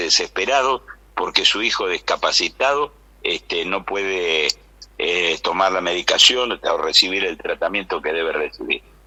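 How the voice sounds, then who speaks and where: A man talks at a moderate pace, with noticeable noise in the background. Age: 80s+. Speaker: biochemist. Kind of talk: radio interview. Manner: animated.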